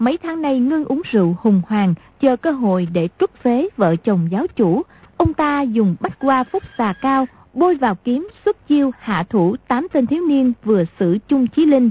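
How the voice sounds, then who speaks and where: A woman with a high pitch speaks at a fairly slow pace, making very wide pitch swings. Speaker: radio announcer. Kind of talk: radio announcement, recap intro and outro. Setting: radio broadcast.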